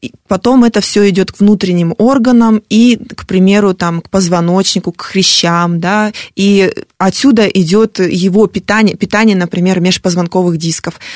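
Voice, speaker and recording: In an unremarkable speaking voice, a woman talks at medium pitch and a moderate pace with fairly even intonation and big swings in loudness, the sound dry and close with no echo. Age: 40s. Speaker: fitness blogger and motivational coach. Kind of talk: radio interview. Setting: radio studio.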